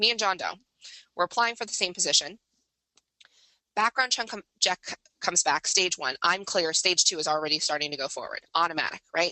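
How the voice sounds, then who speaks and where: A woman with a medium-pitched voice and ordinary pitch variation speaks at a fairly quick pace, broken by long, frequent pauses. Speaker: webinar presenter on background screening. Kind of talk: webinar presentation. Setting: online webinar. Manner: fast; animated, conversational.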